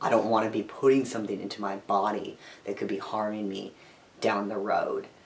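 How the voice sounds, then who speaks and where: Fairly quick speech from a man with a fairly low pitch, against noticeable background noise. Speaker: vlogger, transgender man and teacher. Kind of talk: video diary. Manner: casual, hesitant.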